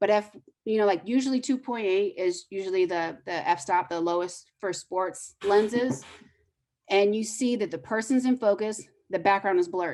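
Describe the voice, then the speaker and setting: Moderate in pace and medium in pitch, a woman with an unremarkable speaking voice talks with ordinary pitch variation. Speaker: photojournalist teaching photography. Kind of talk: lecture. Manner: casual, filler-heavy.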